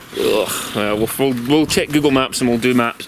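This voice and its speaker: Noticeable background noise sits behind a man's voice. He speaks at a medium pitch and moderate pace with fairly even intonation. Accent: Glasgow. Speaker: car tuning YouTuber. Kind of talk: casual vlog chat. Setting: outdoors in a driveway.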